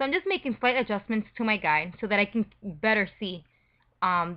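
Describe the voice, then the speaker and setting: A woman's medium-pitched voice with a non-native accent. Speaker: photo retouching tutor. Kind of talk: tutorial.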